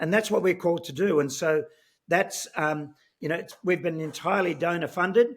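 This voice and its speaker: With an Australian accent, a man talks at a fairly quick pace in a high pitch, his pitch varying in an ordinary way. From Australia (Sydney). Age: 60s. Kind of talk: interview. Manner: animated, many filler words.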